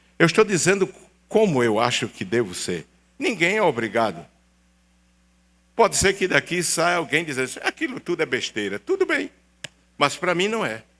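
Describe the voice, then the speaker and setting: The tone is bright and sharp, with very wide pitch swings. The pace is moderate, broken by long, frequent pauses. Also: man, high pitch for a man. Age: 70s. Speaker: pastor. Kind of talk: sermon. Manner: animated.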